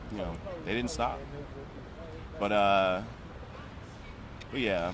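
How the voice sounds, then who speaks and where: A man's fairly low voice with an American accent, at a very slow pace, amid audible room echo and noticeable background noise. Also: ordinary pitch variation. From US Mid-Atlantic, Prince George's County, Maryland. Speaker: choreographer and dancer. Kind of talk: interview conversation. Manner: casual, hesitant with fillers.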